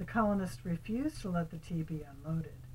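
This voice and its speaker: A woman talks at a fairly quick pace in a fairly low, somewhat breathy voice. Her pitch varies in an ordinary way. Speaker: grandmother reading to grandchildren. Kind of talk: storybook reading aloud.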